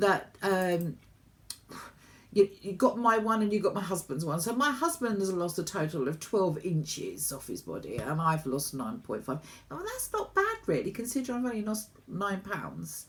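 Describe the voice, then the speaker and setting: With a British accent, a woman talks at a moderate pace in a medium pitch, her voice swinging very widely in pitch and showing vocal fry. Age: 60s. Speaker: vlogger. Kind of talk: casual chat.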